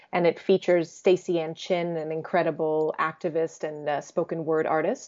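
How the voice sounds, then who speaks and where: In an American accent, a woman talks at a moderate pace with a fairly low pitch, monotone, flat intonation and hardly any pauses. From US, Croatian family. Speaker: jazz vocalist and composer. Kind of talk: interview.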